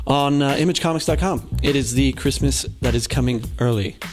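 Clear music plays in the background. Over it, a man talks at a fairly slow pace. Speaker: news segment host. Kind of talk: casual news commentary. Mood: jokey, light. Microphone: handheld.

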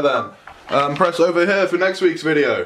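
A man's voice with a fairly high pitch. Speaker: YouTuber reviewing a gaming headset. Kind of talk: casual unboxing review. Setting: at home, filmed by a friend. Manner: casual, crude, joking. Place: home room. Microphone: phone near.

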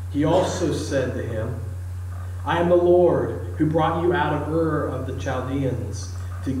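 With a very deep, low pitch, a man speaks amid audible room echo and light background noise. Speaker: preacher. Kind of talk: scripture reading in a sermon. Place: church. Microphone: camera far.

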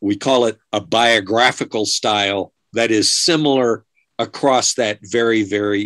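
Very even in loudness and fairly even in intonation, the speech moves at a very slow pace against a quiet background. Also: man. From United States. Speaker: archaeologist; guest. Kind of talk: Q&A answers. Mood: calm, explanatory. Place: office. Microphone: video call.

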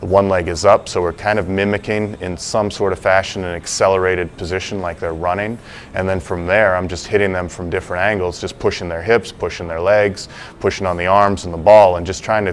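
Over light background noise, a man with a very deep, low pitch talks at a fairly quick pace in monotone, flat intonation. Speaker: strength coach. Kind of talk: interview answer. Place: gym.

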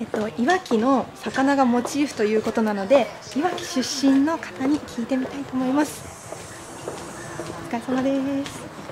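Against noticeable background noise, a woman with a cheerful tone speaks at a high pitch and a moderate pace, with ordinary pitch variation. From Iwaki, Fukushima, Japan. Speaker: TV announcer. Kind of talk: casual on-location quiz segment. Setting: indoors at office, handheld camera. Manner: cheerful, laughs often. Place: office. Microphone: lapel.

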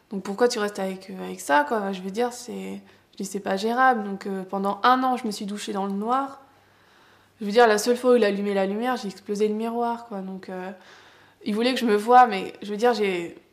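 A woman talks at a moderate pace with fairly even intonation and big swings in loudness. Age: 20s. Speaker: person living with psoriasis. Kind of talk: personal testimony. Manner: halting, with frequent hesitations. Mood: emotional, candid, hesitant. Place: home room.

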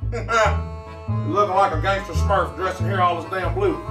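A man is speaking. Music plays clearly in the background. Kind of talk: comedy skit dialogue. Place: office. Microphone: camera far.

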